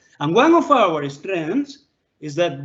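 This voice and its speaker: A man with a non-native accent, fairly slow pace and very wide pitch swings. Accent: foreign accent, permanent. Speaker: law professor. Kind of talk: online lecture Q&A. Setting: live online video session.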